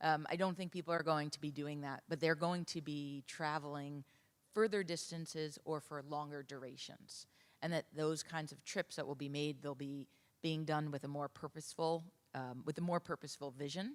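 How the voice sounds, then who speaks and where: A woman with a New York accent speaks at a moderate pace in a very deep, low voice, her intonation fairly even, on a very clean recording with a silent background. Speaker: travel industry consultant. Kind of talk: conference panel discussion.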